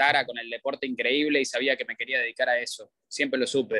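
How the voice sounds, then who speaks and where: The man's voice has a bright, sharp tone. Everything sounds dry and close, without any echo. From Argentina. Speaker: sports journalist and analyst. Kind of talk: casual interview chat.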